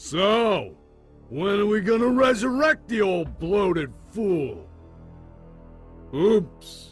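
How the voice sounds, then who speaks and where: In a cartoonish character voice pitched high, a man speaks very slowly with long, frequent pauses while faint music plays in the background. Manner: blustering, gruff.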